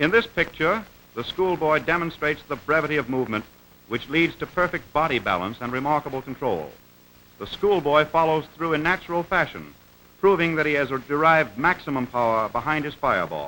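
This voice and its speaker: In a normal speaking voice, a man talks at a fairly quick pace, his fairly high pitch showing ordinary variation. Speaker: newsreel narrator. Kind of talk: vintage newsreel-style instructional narration. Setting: old film soundtrack.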